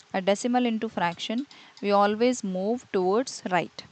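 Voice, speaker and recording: A woman speaks in a normal speaking voice, fairly high in pitch with ordinary pitch variation. She talks at a fairly slow pace. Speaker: maths tutor. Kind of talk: tutorial.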